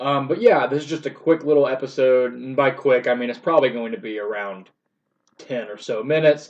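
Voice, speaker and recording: A man talks at a fairly quick pace and medium pitch with ordinary pitch variation. His loudness swings widely in a plain, everyday voice. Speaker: podcast host. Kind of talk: casual solo podcast update. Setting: solo recording.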